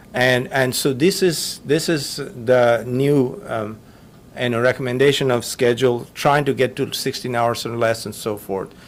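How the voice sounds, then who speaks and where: This is a plain, everyday voice at a fairly slow pace. Its pitch variation is ordinary. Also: man, medium pitch for a man. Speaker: physician lecturer. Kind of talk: lecture.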